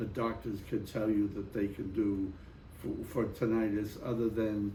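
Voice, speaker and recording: Amid audible room echo, a man speaks fairly slowly at a fairly low pitch in a flat monotone. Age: 80s+. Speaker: Vietnam War veteran. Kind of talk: interview.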